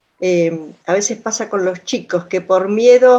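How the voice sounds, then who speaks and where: The speaker talks at a fairly slow pace with ordinary pitch variation amid noticeable background noise. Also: woman. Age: 60s. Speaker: audience participant. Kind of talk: casual chat. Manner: halting.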